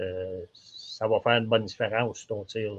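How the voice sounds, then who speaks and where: A man speaks at a moderate pace in a Quebec accent. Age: 60s. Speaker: archery shop expert. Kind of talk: casual podcast chat. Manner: halting, repetitive fillers.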